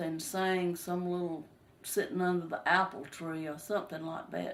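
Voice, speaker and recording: A woman with a Southern US accent speaks at a medium pitch with fairly even intonation. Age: 60s. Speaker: retired textile mill worker. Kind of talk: family interview, personal reminiscence. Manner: casual, slightly halting.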